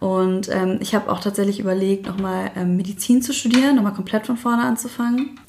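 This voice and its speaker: Over noticeable background noise, a woman speaks at a fairly quick pace with hardly any pauses, her medium pitch showing ordinary variation. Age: 30s. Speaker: single mother. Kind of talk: casual interview.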